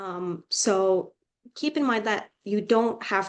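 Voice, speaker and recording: A woman with a Finnish accent speaks at medium pitch with ordinary pitch variation against a quiet background. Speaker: student tutor. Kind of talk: casual advice talk.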